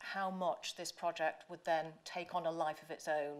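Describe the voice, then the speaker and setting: A woman with an English accent. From England. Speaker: professor. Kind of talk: lecture. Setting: stage with audience. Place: hall. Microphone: podium.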